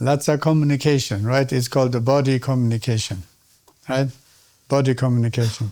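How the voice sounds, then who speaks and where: A man with a Tibetan accent speaks fairly quickly at medium pitch, his tone dark and mellow. His loudness is very even, his intonation fairly even, and he takes long, frequent pauses. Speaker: Tibetan medicine teacher. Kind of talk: lecture. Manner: interactive, questioning audience.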